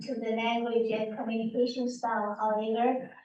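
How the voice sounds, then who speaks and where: Amid audible room echo, a woman speaks at a moderate pace in a high voice with a dark, mellow tone and fairly even intonation. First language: Chinese. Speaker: parent council member. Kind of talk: prepared statement at public meeting.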